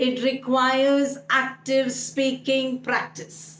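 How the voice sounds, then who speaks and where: A woman with a high-pitched voice is heard with audible room echo. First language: Malayalam. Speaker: English speaking coach. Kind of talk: online tutorial.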